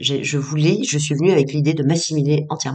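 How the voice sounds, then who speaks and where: A woman with a very deep, low pitch talks at a fairly quick pace, her pitch varying in an ordinary way. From Tunisia, Tunis. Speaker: psychologist and author. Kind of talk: interview testimony. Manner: hesitant, many fillers and repetitions.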